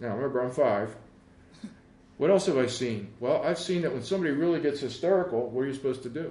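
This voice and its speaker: A man's fairly high-pitched voice at a very fast pace, lively in intonation, with audible room echo. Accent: American. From Philadelphia, Pennsylvania. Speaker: meditation teacher. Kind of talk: talk on forgiveness. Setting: recording venue.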